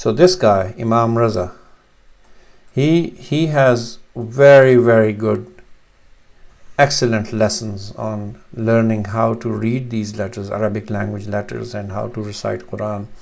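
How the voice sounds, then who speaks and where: The speaker has a Pakistani accent and ordinary pitch variation. The pace is fairly slow. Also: man, medium pitch for a man. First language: Urdu. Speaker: language teacher. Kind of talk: tutorial. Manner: hesitant, many fillers.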